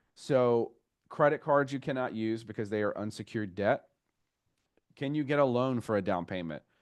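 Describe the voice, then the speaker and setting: Ordinary pitch variation against a quiet background. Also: man. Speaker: mortgage loan officer. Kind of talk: online class. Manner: fast.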